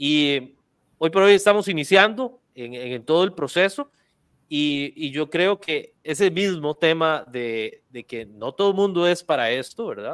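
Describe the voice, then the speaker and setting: A man's fairly high voice at a fairly slow pace, with lively intonation, big swings in loudness, and a quiet background. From Costa Rica. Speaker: real estate video marketing podcast host. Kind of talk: casual interview. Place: studio. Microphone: studio mic.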